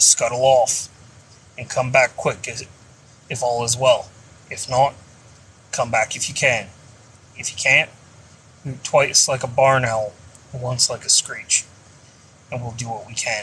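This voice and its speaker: In a put-on character voice, a man talks raspily at medium pitch and a moderate pace, leaving long, frequent pauses. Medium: read story. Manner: brusque, commanding.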